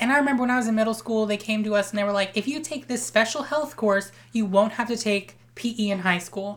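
At a fairly quick pace and with fairly even intonation, this is a plain, everyday voice. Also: woman. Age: 20s. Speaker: podcast co-host. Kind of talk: casual chat.

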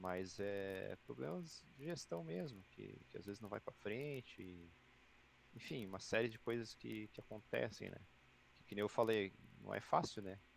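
Here a man uses an ordinary speaking voice, fairly low in pitch, at a fairly slow pace. His intonation is lively and his loudness swings a lot. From Santa Catarina, Brazil (Joinville). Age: 30s. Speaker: esports team president. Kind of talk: casual chat.

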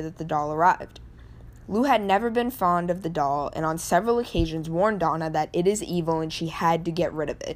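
A woman in a plain, everyday voice speaks at a fairly quick pace, her pitch fairly low with ordinary variation. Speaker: paranormal podcast host. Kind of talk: true-crime horror narration, read-aloud storytelling. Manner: hushed, suspenseful, building dread.

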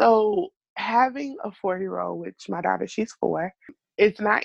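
The woman has an ordinary speaking voice, pitched fairly high and delivered at a moderate pace. The sound is dry and close, with no echo. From US South, Miami, South Florida. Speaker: academic advisor. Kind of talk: interview.

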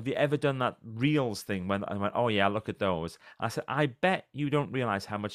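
A man's voice on a very clean recording with a silent background, lively intonation, a moderate pace and hardly any pauses. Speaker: motivational speaker and author. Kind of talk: casual interview.

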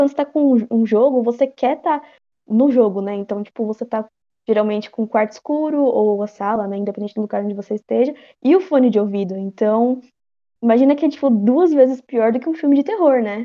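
A woman talks at a fairly quick pace in a fairly high pitch, with ordinary pitch variation. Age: 20s. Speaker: horror game fan. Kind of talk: casual chat.

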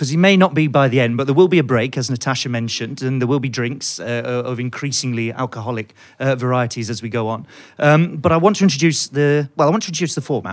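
A man with a British accent speaks at a very fast pace and a medium pitch. His pitch varies in an ordinary way, and the recording is very clean with a silent background. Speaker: economics podcast host. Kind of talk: live panel discussion. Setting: stage with audience.

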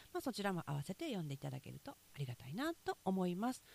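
A somewhat breathy woman with a Kansai accent, fairly low-pitched, with very wide pitch swings and a fairly quick pace. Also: dry, close sound with no echo. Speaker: podcast host, rice farmer. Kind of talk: casual morning monologue. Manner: chatty, with laughter.

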